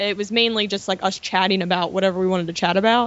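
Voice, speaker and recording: A woman with a Baltimore accent. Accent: Baltimore accent, described as horrible. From US, Baltimore, Maryland. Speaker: film blogger and editor. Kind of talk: casual chat. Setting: studio.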